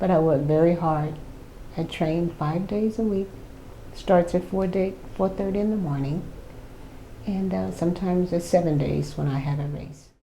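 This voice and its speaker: Somewhat breathy and dark, mellow in tone, a woman's fairly low voice moves at a moderate pace over audible room echo. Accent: American. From Miami, South Florida. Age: 70s. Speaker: senior track athlete. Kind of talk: interview. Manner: animated, frequent fillers.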